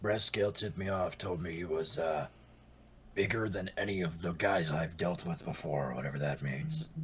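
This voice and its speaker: A man's raspy put-on character voice, very deep and low in pitch, with ordinary pitch variation, at a moderate pace. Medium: actual play. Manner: cocky, casual.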